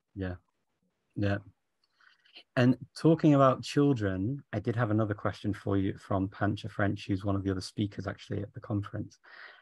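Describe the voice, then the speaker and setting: This man's somewhat breathy, fairly low voice moves at a fairly quick pace with ordinary pitch variation, recorded dry with no echo over a quiet background. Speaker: conference organizer and interviewer; interviewer. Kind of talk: interview. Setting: video call. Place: home room. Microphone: video call.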